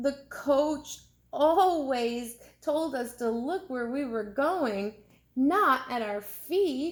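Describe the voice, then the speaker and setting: Using a put-on character voice, a woman speaks at a very slow pace with a high pitch. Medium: read story.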